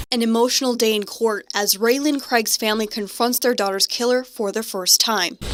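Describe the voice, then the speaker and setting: Over noticeable background noise, a woman talks at a moderate pace in a fairly high voice with fairly even intonation. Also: hardly any pauses. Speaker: TV news reporter and anchor. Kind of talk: TV news report.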